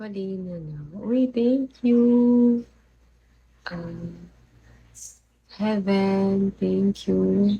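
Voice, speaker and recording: A woman speaks quietly in a dark, mellow tone. Her voice is somewhat breathy. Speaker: livestreamer. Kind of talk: live stream chat with viewers. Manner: quiet, low voice.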